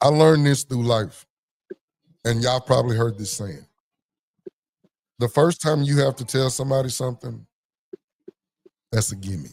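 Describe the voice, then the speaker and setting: A somewhat breathy voice at a moderate pace, broken by long, frequent pauses. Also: man, medium pitch for a man, ordinary pitch variation. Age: adult parent. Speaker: podcast panelist. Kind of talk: casual group discussion. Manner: animated.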